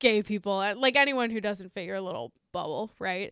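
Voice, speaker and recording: A woman speaks in an animated tone at medium pitch and moderate pace, with ordinary pitch variation. The sound is dry and close with no echo, on a very clean recording with a silent background. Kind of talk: casual comedic banter, sarcastic riffing with profanity. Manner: sarcastic, irreverent, animated riffing.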